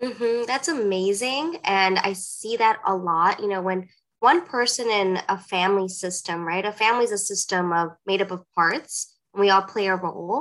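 A woman with a plain, everyday voice speaks at a moderate pace and medium pitch, with ordinary pitch variation and hardly any pauses. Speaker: licensed psychotherapist. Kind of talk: interview about therapy.

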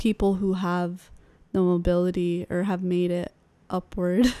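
Very slowly and in a Californian accent, a woman talks with a medium-pitched, dark, mellow tone and monotone, flat intonation, the sound dry and close with no echo. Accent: American (Californian). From California (Sacramento). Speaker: podcast co-host. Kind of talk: casual conversation.

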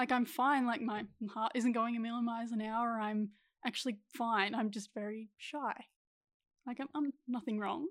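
At a moderate pace, a woman talks in an unremarkable speaking voice with a fairly high pitch. Her intonation is fairly even, and the recording is very clean with a silent background. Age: 20s. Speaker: actress. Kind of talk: casual chat.

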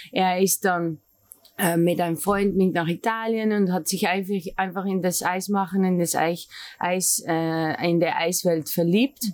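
Speaking with a Dutch accent, a woman uses a medium pitch and a fairly slow pace. Her intonation is fairly even and her loudness is very even. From Netherlands. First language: Dutch (speaking German). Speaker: café owner. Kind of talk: interview. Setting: ice cream lab. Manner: halting.

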